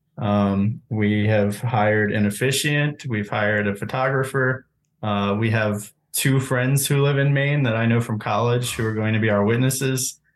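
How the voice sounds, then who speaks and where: A plain, everyday voice: a man at medium pitch, moderate pace, fairly even intonation. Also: very even loudness. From US Southeast. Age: 20s. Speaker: caller. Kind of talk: casual chat.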